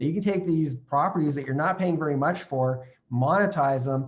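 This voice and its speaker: Fairly quick, somewhat breathy male speech, fairly high in pitch with ordinary pitch variation. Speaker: real estate investing trainer. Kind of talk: online training session. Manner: fast; animated.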